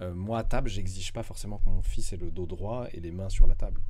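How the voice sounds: A man speaks at a fairly quick pace. His tone is slightly mellow and his intonation fairly even.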